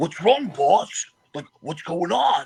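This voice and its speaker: Pitched in the middle range, the speaker performs a put-on character voice. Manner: dim-witted.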